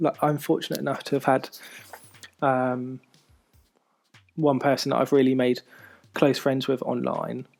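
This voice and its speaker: Music plays in the background. Over it, a man with a fairly high voice talks at a moderate pace. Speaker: podcast host. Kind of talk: personal monologue podcast. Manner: hesitant, many fillers.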